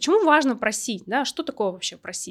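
The clip is very clean and the background is silent. Here a woman's pitch rises and falls very widely. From Russian Far East, Vladivostok. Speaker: podcast host. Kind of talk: solo podcast monologue. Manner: casual, with filler words.

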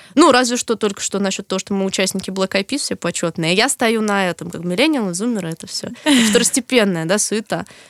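A woman speaks very fast, her pitch varying in an ordinary way. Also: medium pitch for a woman, hardly any pauses. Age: 20s. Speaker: podcast co-host. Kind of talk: casual chat.

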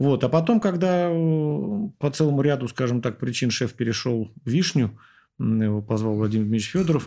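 Over a quiet background, a man of medium pitch speaks at a fairly quick pace with a dark, mellow tone and lively intonation. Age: 40s. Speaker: surgeon. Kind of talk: casual chat.

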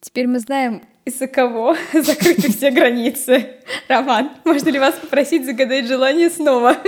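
Her pitch high and her intonation fairly even, a woman talks at a moderate pace. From Nizhny Novgorod region, Russia. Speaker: podcast host. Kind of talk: casual chat.

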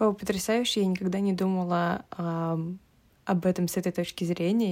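Dark, mellow tone in a woman's fairly low voice. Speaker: podcast host. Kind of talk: casual chat.

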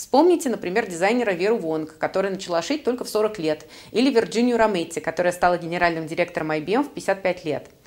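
The speaker talks at a very fast pace with lively intonation. Noticeable background noise can be heard. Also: woman, medium pitch for a woman. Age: 30s. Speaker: career coach and podcast host. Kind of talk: solo podcast monologue.

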